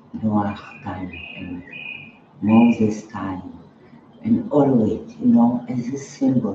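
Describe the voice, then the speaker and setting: A man speaks at a very slow pace with long, frequent pauses and big swings in loudness, his voice carrying audible room echo over noticeable background noise. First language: not English. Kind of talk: spiritual talk. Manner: halting.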